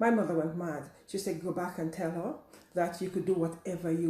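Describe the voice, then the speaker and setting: There is audible room echo as a somewhat breathy woman speaks at a fairly low pitch with fairly even intonation. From Caribbean. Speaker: teacher and coach. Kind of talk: personal talk to camera. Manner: halting.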